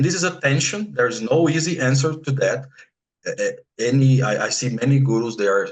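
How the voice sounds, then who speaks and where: A man's somewhat breathy voice at a moderate pace. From Brazil. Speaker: spiritual practitioner. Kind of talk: interview conversation. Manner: halting, many repetitions.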